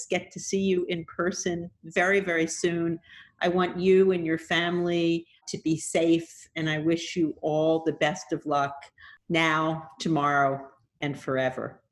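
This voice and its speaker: Very slowly, a woman speaks at a fairly low pitch in a monotone, flat intonation. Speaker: podcast host. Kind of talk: interview.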